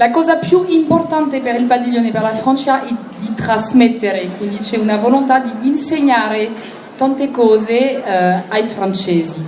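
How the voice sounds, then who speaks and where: A woman talks very slowly at a fairly high pitch, with ordinary pitch variation. Both room echo and background noise are noticeable. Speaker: interpreter. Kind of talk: consecutive interpreting.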